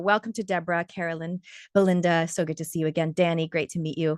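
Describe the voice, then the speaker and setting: A woman speaks at a very fast pace with an energetic, animated tone. The sound is dry and close with no echo, over a quiet background. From Canada. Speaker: wellness coach and podcast interviewer. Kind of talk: online workshop presentation.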